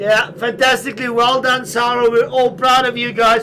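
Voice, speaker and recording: A man's extremely high, raised, projected voice in an animated tone at a moderate pace, over noticeable background noise. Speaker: esports cycling commentator. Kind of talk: live commentary. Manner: animated, shouting encouragement.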